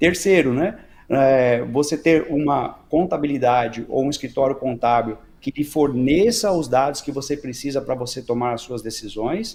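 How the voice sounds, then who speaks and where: A normal speaking voice talks at a moderate pace with ordinary pitch variation. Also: man, fairly high pitch for a man. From Brazil. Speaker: business consultant and company founder. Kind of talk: podcast interview.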